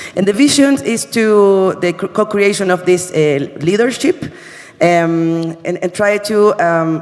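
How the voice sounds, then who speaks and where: The speaker talks at a very slow pace with a Spanish accent and ordinary pitch variation. Noticeable background noise runs underneath. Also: man, high pitch for a man. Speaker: university sustainability representative. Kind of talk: conference presentation. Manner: halting, many fillers.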